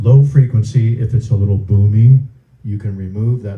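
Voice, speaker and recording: Somewhat breathy, the man's voice has a dark, mellow tone and ordinary pitch variation. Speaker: sound system instructor. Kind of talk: tutorial. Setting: room with wood, close to stage.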